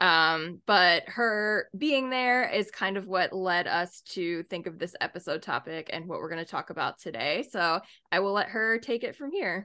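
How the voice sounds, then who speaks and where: A woman talks at medium pitch and a moderate pace with hardly any pauses. Her intonation is lively, and she has an ordinary speaking voice. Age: 30s. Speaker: podcast co-host. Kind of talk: casual chat. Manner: laughs often.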